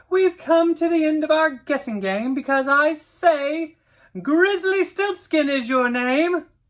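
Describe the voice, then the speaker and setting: Loud and high-pitched, a female-sounding put-on character voice speaks at a fairly slow pace. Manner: loud and clear, triumphant.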